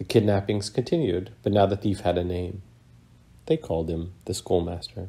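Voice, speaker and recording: With a soothing, dramatic tone that is dark and mellow, a man speaks in a fairly low, somewhat breathy voice at a moderate pace with ordinary pitch variation. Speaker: author. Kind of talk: bedtime story reading. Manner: soothing, storyteller cadence with dramatic, wry emphasis.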